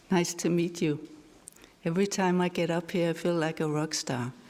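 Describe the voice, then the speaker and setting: This woman has a fairly low pitch, fairly even intonation, and a Danish accent. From Denmark, Aarhus. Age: 60s. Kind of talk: personal testimony speech.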